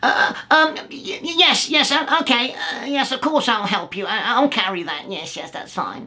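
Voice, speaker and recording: At a moderate pace, a put-on character voice speaks at a high pitch with very wide pitch swings. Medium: read story. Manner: grumbling, stammering.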